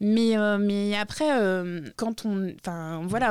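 Here a woman has a plain, everyday voice at medium pitch with ordinary pitch variation. The recording is very clean, with a silent background. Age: 40s. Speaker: podcast co-host, activist. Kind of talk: casual chat. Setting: studio.

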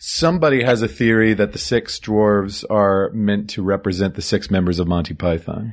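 Speaking at a moderate pace with hardly any pauses, a man uses a fairly low pitch with ordinary variation. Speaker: movie podcast host. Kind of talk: casual chat. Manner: announcer-like delivery.

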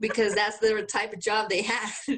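A woman with a Mexican accent, a fairly high pitch and an animated tone at a moderate pace. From Mexico (Guanajuato, Mexico City). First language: Spanish. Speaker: podcast co-host. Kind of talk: casual chat. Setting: video call.

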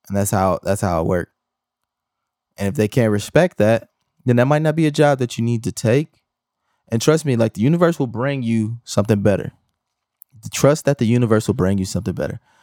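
Fairly quick, lively speech from a man at medium pitch with a dark, mellow tone and long, frequent pauses, in a very clean recording with a silent background and a dry, close sound with no echo. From Milwaukee, Wisconsin. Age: 30s. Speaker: podcast host, video editor. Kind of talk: solo podcast rant. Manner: casual, conversational.

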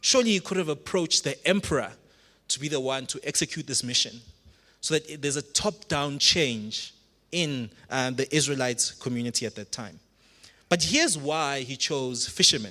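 Here a man's fairly high voice has a bright, sharp tone. He keeps a moderate pace with ordinary pitch variation. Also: very clean recording, silent background. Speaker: pastor. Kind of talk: sermon. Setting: church.

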